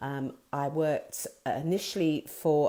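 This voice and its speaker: A woman's fairly low, dark and mellow voice with ordinary pitch variation, on a very clean recording with a silent background. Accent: English. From England. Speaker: business owner and artist. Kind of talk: live video talk. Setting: live video stream. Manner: hesitant, many fillers.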